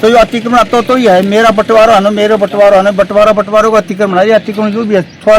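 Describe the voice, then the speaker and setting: High-pitched male speech with noticeable noise behind it. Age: 60s. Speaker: farmer. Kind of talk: interview. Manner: animated; halting.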